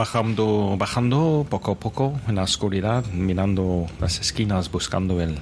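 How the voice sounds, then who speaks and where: Over music in the background, a man speaks at a fairly slow pace with hardly any pauses. His pitch is fairly low with ordinary variation, and his loudness stays very even. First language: English (speaking Spanish). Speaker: English teacher podcaster, guest player. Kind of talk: role-playing game.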